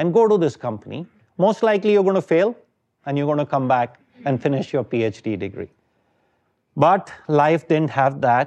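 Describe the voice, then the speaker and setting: Against a quiet background, a man with an Indian accent speaks at a fairly high pitch with very wide pitch swings. He leaves long, frequent pauses. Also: moderate pace. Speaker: venture capitalist. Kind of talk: lecture. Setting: stage with audience.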